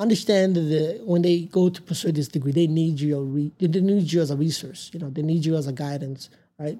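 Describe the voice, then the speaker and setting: A man with a fairly high pitch and a dark, mellow tone talks at a fairly quick pace. He hardly pauses, and his pitch varies in an ordinary way. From Tanzania, then Amarillo, Texas from middle school. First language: not English. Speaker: mechanical engineer. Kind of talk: casual interview. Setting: back porch.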